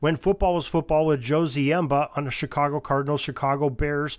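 An ordinary speaking voice from a man, fairly high in pitch and fairly quick, comes through on a very clean recording with a silent background. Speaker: podcast host and producer. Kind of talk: podcast host introduction.

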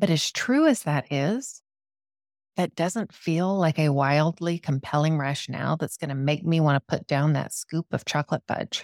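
A woman speaks at a moderate pace in an enthusiastic tone, her pitch very deep and low, on a very clean recording with a silent background and a dry, close sound with no echo. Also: ordinary pitch variation. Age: 40s. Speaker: podcast host and life coach. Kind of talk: solo podcast talk.

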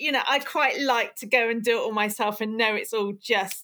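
A woman talks with a fairly high pitch and ordinary pitch variation. Hers is an unremarkable speaking voice. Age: 50s. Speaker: dried flower business owner. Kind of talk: casual interview chat.

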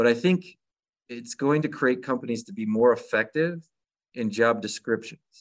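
Speaking in a plain, everyday voice with an American accent, a man keeps a medium pitch and ordinary pitch variation. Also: dry, close sound with no echo. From Michigan. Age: 40s. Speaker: podcast host. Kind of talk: podcast interview.

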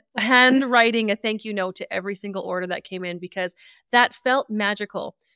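An unremarkable speaking voice from a woman, fairly high-pitched, at a moderate pace with fairly even intonation, dry and close with no echo in a very clean recording with a silent background. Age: 40s. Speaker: podcast co-host, rural entrepreneur. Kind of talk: casual chat, podcast intro and storytelling.

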